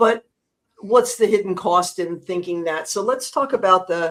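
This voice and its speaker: This woman has an unremarkable speaking voice with an American accent. Her pitch is medium and her pace fairly slow. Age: 60s. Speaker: podcast host. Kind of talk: interview. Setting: livestream.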